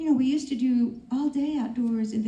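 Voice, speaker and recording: A woman's voice at a fairly quick pace with ordinary pitch variation, amid noticeable background noise and audible room echo. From rural area, grew up on a farm. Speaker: health practitioner panelist. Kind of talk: panel discussion.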